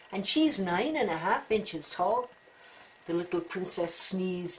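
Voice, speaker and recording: Very wide pitch swings come at a fairly slow pace over noticeable background noise. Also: woman. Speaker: storyteller. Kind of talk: children's story read-aloud.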